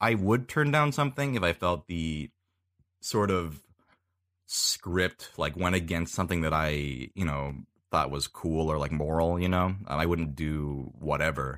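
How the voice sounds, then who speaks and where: Over a silent background in a very clean recording, a man with a very deep, low pitch speaks at a fairly slow pace with lively intonation. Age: 20s. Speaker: voice actor and YouTuber. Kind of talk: casual chat.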